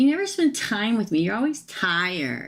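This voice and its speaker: Using a put-on character voice, a female-sounding voice whines at a fairly high pitch and a moderate pace. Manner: complaining.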